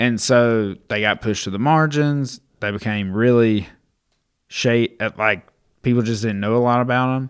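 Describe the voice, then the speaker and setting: An ordinary speaking voice from a man with an American accent, medium pitch, fairly even intonation and a moderate pace, in a very clean recording with a silent background. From US South. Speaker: podcast producer. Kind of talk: casual Bible discussion. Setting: studio.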